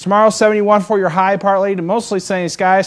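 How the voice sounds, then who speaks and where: Against a quiet background, a man talks at a fairly quick pace in a high voice with an upbeat tone. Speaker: weather forecaster. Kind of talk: TV weather forecast. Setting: studio. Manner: upbeat, conversational. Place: studio.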